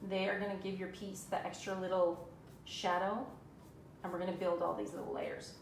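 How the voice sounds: Vocal fry at a moderate pace, with little pitch movement and audible room echo. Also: woman, fairly low pitch for a woman.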